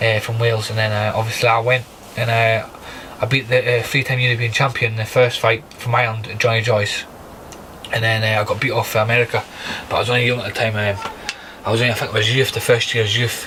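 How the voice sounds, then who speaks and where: At a very fast pace, a man speaks in a monotone, flat delivery at medium pitch over noticeable background noise. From Scotland, Aberdeen. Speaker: professional boxer. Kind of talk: podcast interview. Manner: halting, many fillers.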